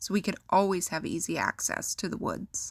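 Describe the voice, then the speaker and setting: The speaker has an Upper Midwest accent and a bright, sharp tone. The pace is moderate, and the recording is very clean with a silent background. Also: woman. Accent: Upper Midwest American. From South Dakota, USA. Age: young. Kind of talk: personal story reading.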